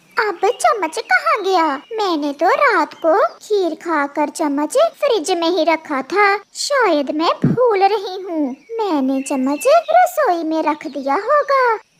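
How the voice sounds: Using a cartoonish character voice, a woman speaks fairly slowly at an extremely high pitch.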